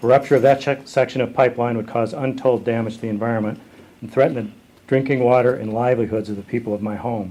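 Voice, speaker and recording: A man delivers his words at a very fast pace. The intonation remains fairly even. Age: 60s. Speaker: writer and photographer, canoeist. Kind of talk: prepared statement at a press conference. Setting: press conference call. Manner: formal.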